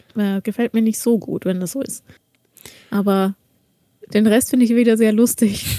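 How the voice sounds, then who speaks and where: A woman speaks at a moderate pace in a fairly high pitch, her tone dark and mellow with fairly even intonation. She leaves long, frequent pauses. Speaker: podcast co-host. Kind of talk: casual chat.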